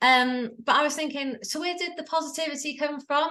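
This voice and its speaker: This voice comes out raised and projected. The tone has a bright, sharp edge. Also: woman. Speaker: life coach. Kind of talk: interview. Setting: video call. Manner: loud.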